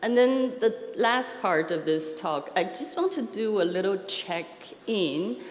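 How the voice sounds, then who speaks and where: Very slow speech from a woman with a non-native accent, lively intonation and audible room echo. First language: not English. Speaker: software architecture consultant. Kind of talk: conference talk. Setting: stage with audience. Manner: hesitant, many fillers.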